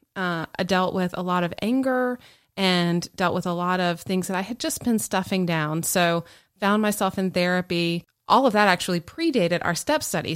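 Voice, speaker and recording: On a very clean recording with a silent background, a woman at medium pitch speaks at a moderate pace in a plain, everyday voice. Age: 40s. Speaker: podcast co-host. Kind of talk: casual chat. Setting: home studio.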